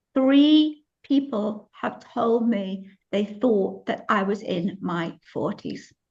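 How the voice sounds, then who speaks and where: The voice is somewhat breathy, with lively intonation at a very slow pace. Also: woman, medium pitch for a woman. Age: 60s. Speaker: business coach and product seller. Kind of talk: testimonial on video call. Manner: enthusiastic.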